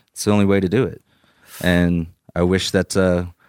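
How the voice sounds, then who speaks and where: On a very clean recording with a silent background and a dry, close sound with no echo, a man speaks in a monotone, flat intonation at a very deep, low pitch. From Iceland. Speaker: cannabis head grower. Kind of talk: casual interview chat.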